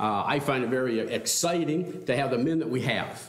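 A man speaks at a moderate pace with lively intonation, and the room echo is audible. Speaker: pastor. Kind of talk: welcome remarks before a sermon. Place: church. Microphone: podium.

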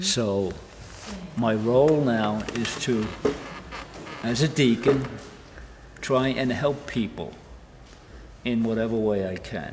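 Through noticeable background noise, a man with an American accent speaks at a very slow pace and medium pitch, with ordinary pitch variation and long, frequent pauses. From New York. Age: 80s+. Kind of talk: interview answer. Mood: warm, cheerful. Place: church.

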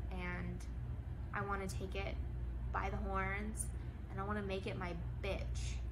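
A woman takes long, frequent pauses at a fairly slow pace while noticeable background noise carries on. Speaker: lifestyle vlogger. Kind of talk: reflective monologue to camera. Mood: reflective, candid. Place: home room. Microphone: phone near.

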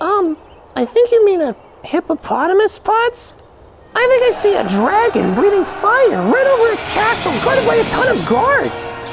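An extremely high-pitched, cartoonish character voice moves along at a moderate pace. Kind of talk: children's puppet show dialogue.

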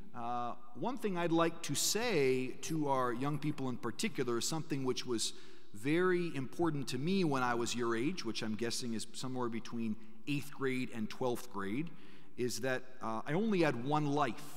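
A man's voice shows ordinary pitch variation, delivered at a moderate pace. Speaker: priest giving a parish mission talk. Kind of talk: sermon. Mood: warm, lightly humorous. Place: church. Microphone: podium.

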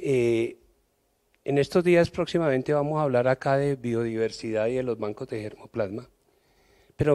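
A man's dark, mellow tone comes at a moderate pace with ordinary pitch variation, over a quiet background. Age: old. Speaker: audience member. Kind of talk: audience question. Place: hall. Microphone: handheld.

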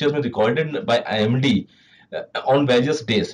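A man with an Indian accent speaks at a fairly high pitch, somewhat breathy, with ordinary pitch variation. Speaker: meteorologist presenter. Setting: video presentation with slides. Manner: formal, measured, explanatory pace with frequent 'uh' fillers. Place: office.

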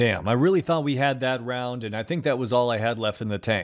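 A man's medium-pitched voice at a very fast pace. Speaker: gaming YouTuber. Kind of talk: gameplay commentary video.

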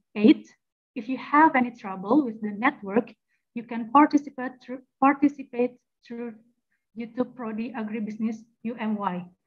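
Over a quiet background, a woman with an Indonesian accent speaks at a moderate pace and fairly high pitch, with ordinary pitch variation, big swings in loudness and long, frequent pauses. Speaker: master of ceremony; event host, moderator. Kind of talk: formal event hosting. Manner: formal. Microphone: video call.

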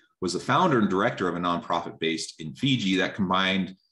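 Talking at a very fast pace, a man uses lively intonation. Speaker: webinar host. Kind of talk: reading bios, interview intro. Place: home room. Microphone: earbuds.

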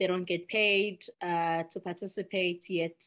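Against a quiet background, a woman with a South African accent speaks fairly slowly in a fairly low, monotone voice. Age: 30s. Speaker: nonprofit executive director; podcast guest. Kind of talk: podcast interview. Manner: earnest. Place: home room. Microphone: video call.

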